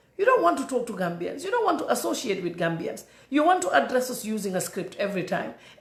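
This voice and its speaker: In a room with audible echo, a woman talks at a very fast pace with very wide pitch swings. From The Gambia. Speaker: political commentator. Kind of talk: political commentary monologue. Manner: animated, repetitive stammering.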